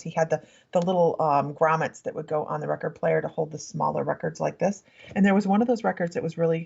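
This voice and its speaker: A put-on character voice with a raspy edge. It races along at a very fast pace. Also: woman, fairly low pitch for a woman. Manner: talking very quickly.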